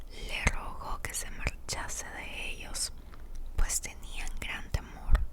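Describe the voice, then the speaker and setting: The whispering moves at a very slow pace. Behind it sits noticeable background noise. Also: woman. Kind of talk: whispered Bible reading. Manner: whispered, soft.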